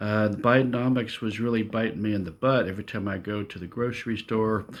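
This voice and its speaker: An unremarkable speaking voice in an American accent moves at a fairly quick pace with fairly even intonation on a very clean recording with a silent background. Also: man. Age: 60s. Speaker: retiree vlogger. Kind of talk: casual monologue vlog. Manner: relaxed, frequent filler uh.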